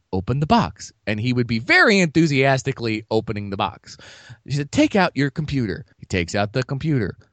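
A man with an ordinary speaking voice talks at a fairly quick pace and medium pitch, with lively intonation. The sound is dry and close with no echo over a quiet background. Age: 30s. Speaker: podcast co-host. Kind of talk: casual chat. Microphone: cheap mic bought at a closing-down sale.

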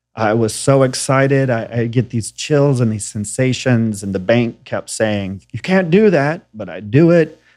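A man with a plain, everyday voice, medium pitch, lively intonation, a fairly slow pace and hardly any pauses, on a very clean recording with a silent background. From Tennessee, US South. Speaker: fintech co-founder. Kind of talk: interview conversation.

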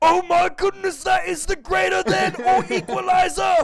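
A man puts on a character voice, shouting at an extremely high pitch and a moderate pace. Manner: uncertain, flustered.

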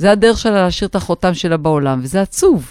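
In an ordinary speaking voice, a woman of medium pitch uses lively intonation, heard as a dry, close sound with no echo. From northern Israel. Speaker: podcast co-host. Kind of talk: casual chat.

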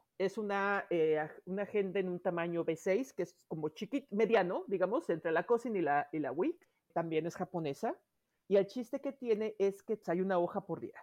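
Lively in intonation, a woman speaks with an unremarkable speaking voice at a medium pitch. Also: moderate pace. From Mexico City. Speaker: planner enthusiast. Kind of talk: casual chat.

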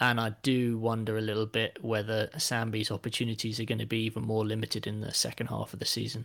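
In a very clean recording with a silent background, a man with an English accent speaks at a very fast pace with hardly any pauses, in a medium pitch and monotone, flat intonation. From England. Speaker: football fan guest. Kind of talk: casual chat.

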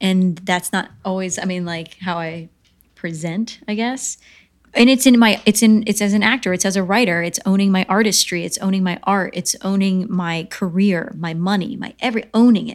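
Someone speaks with an American accent in a plain, everyday voice at a moderate pace with ordinary pitch variation, on a very clean recording with a silent background. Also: woman, medium pitch for a woman. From upstate New York and North Carolina. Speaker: writer, producer and actress. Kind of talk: casual interview chat.

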